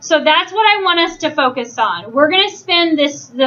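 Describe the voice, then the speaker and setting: Raising and projecting her voice, a woman speaks at an extremely high pitch with a bright, sharp tone and ordinary pitch variation. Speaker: teacher. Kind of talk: classroom instruction. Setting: classroom. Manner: loud.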